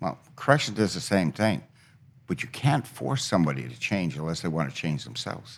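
A man speaks with a very deep, low pitch and vocal fry. His pitch swings very widely at a moderate pace. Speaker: retired correctional officer. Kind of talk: interview. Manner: matter-of-fact.

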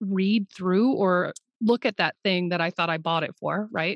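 A normal speaking voice at a moderate pace, with lively intonation and a dry, close sound with no echo. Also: woman. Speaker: therapist and business coach. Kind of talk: casual interview chat.

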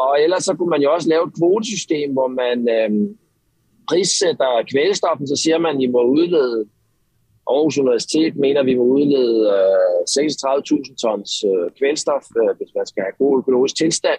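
With long, frequent pauses, a man speaks at a fairly slow pace in a fairly high pitch with ordinary pitch variation. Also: dry, close sound with no echo. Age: 30s. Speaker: marine biologist. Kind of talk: interview. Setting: phone call. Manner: halting.

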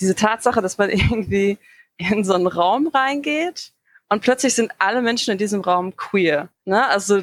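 A woman's medium-pitched, lively voice, a normal speaking voice, dry and close with no echo. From Dortmund, Ruhr area, Germany. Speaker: community group founder. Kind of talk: interview conversation.

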